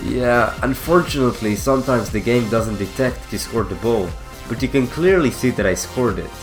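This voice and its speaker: Music in the background behind a man's medium-pitched voice, ordinary in pitch variation, at a fairly quick pace. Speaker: gaming tutorial maker. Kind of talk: game tutorial voice-over.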